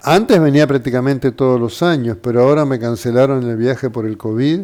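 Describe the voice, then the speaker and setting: Speaking in a Uruguayan accent, a man with a medium pitch moves at a fairly quick pace with ordinary pitch variation. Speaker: doctor. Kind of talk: interview.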